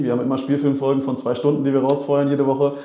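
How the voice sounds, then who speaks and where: A man talking at a very fast clip, with noticeable background noise and audible room echo. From Berlin. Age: 30s. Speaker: basketball club manager. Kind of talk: casual chat.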